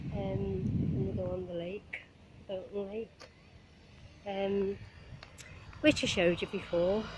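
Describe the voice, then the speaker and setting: With a Liverpool accent, a woman speaks at a very slow pace with long, frequent pauses and big swings in loudness, over noticeable background noise. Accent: Liverpool Scouse, moderate. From Liverpool, England. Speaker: vlogger. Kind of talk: casual vlog monologue while walking. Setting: outdoors, walking by marina. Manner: chatty, rambling, cheerful.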